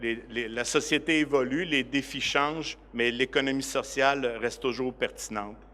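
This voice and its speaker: In a Quebec accent, a man speaks at a medium pitch and a fairly slow pace, his tone bright and sharp and his intonation fairly even. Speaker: director of a cooperative organization. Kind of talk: conference presentation. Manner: hesitant, many fillers.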